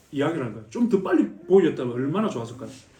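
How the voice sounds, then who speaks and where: Audible room echo carries a man's voice as he talks very fast with very wide pitch swings. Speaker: missionary. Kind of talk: mission report talk at church.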